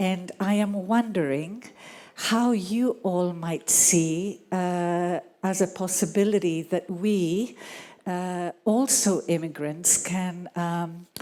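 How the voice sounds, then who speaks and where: In a very clean recording with a silent background, a woman speaks at a very slow pace in a dark, mellow tone. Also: medium pitch for a woman, ordinary pitch variation. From Greece. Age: 60s. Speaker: audience member asking a question. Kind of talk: audience question at a festival panel. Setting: live event with audience. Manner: halting.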